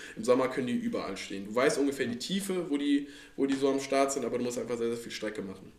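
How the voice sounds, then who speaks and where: Talking at a very fast pace, a man uses a medium pitch and ordinary pitch variation, with audible room echo and noticeable background noise. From Rhineland, Cologne-Aachen region, Germany. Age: 20s. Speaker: angler and fishing social media creator. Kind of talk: casual chat. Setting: club house, at a table with drinks.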